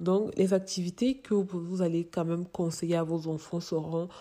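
With a dark, mellow tone, a woman speaks in a fairly low pitch and fairly even intonation. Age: young. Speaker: parenting educator and mother. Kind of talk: advice monologue.

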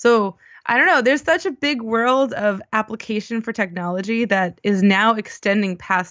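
A woman's unremarkable speaking voice with an American accent, medium pitch, lively intonation and a moderate pace. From US East Coast, Baltimore. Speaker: UI engineer and conference speaker. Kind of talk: casual interview.

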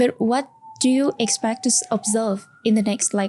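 Fairly slow speech from a woman, fairly high in pitch, with ordinary pitch variation. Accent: Vietnamese. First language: Vietnamese. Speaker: podcast host. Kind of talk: interview.

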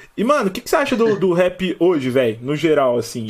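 The speaker is a man. He talks at a moderate pace. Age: 20s. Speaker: podcast host. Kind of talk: casual chat. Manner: animated.

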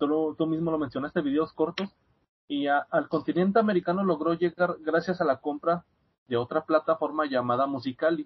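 This is an ordinary speaking voice with fairly even intonation. The delivery moves at a fairly quick pace. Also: man, fairly high pitch for a man. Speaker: student and podcast guest. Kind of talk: casual chat. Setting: video call.

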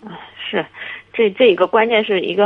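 Speech runs at a very fast pace with fairly even intonation. Noticeable background noise sits behind it. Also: woman. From Shandong, Linyi. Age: 30s. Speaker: caller. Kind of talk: call-in advice talk.

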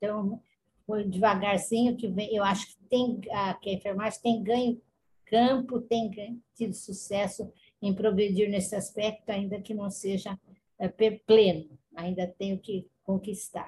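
Very slowly and in a monotone, flat way, a woman speaks at a medium pitch with a dark, mellow, somewhat breathy tone and big swings in loudness. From Brazil, Campinas (São Paulo state). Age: 80s+. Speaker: retired nurse. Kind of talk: interview.

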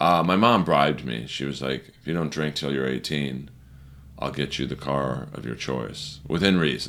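Speaking at a moderate pace with an American accent, a man uses a very deep, low pitch, ordinary pitch variation and vocal fry. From Los Angeles, California. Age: 40s. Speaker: stand-up comedian. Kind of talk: casual chat.

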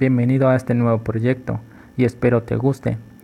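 This man has a dark, mellow tone at a medium pitch and speaks at a moderate pace. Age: 20s. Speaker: physiotherapy intern. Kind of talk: scripted podcast introduction.

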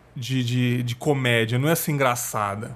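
A man's voice against a quiet background. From São Paulo city, Brazil. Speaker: podcast host. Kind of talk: casual interview chat.

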